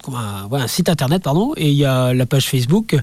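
This is a man with a normal speaking voice, fairly high in pitch. He talks at a moderate pace with ordinary pitch variation. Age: 50s. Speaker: amateur ultra-trail runner and association president. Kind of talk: radio interview. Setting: radio studio.

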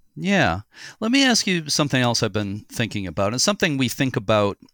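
A man with an American accent talks at a fairly quick pace with lively intonation in a very clean recording with a silent background. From US Northeast, Boston area. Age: 60s. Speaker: podcast host, lighthouse historian. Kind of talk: casual interview. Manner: halting, many fillers.

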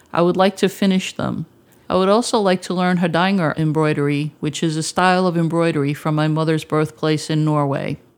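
A woman with an American accent speaks at a fairly quick pace in a very deep, low pitch, her intonation fairly even. The recording is very clean, with a silent background. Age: 50s. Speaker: mental health advocate. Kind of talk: prepared testimony presentation.

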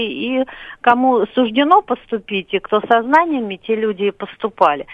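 A woman has a normal speaking voice with a fairly high pitch. She keeps a moderate pace. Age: 40s. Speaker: caller. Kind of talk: call-in comment. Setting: phone call.

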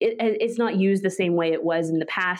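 A woman with a Canadian accent has a plain, everyday voice. Her pitch is medium, with ordinary pitch variation. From Canada, Vancouver. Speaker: royal-watching blogger and media manager. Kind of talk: interview.

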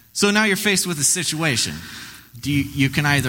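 This voice carries vocal fry and an animated, theatrical tone. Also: man. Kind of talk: live stage storytelling, campfire-style spooky tale told to an audience. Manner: theatrical, hushed and teasing, building suspense with playful asides; animated, pausing for effect and cueing sound effects.

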